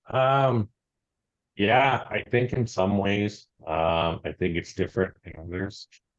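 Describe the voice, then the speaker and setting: A man's normal speaking voice in a Canadian accent, at a fairly low pitch and fairly slow pace, with ordinary pitch variation. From Canada. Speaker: food startup founder. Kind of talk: interview conversation.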